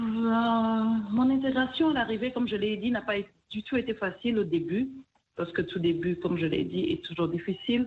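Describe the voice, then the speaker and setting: A woman talks at a moderate pace with a fairly high pitch and lively intonation. Her voice is somewhat breathy, and her loudness stays very even. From DR Congo, Kivu. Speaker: restaurant owner. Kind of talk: interview.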